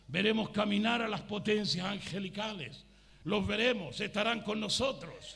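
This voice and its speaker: An animated tone comes through in a raised, projected voice against noticeable background noise. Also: man. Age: 60s. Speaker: pastor. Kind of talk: sermon.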